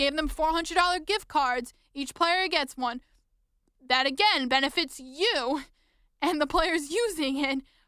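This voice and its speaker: Raising and projecting her high voice, a woman speaks with a bright, sharp, passionate tone, ordinary pitch variation, and long, frequent pauses. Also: fairly slow pace. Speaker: podcast host, sports fan. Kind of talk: podcast monologue. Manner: passionate, frustrated, urgent.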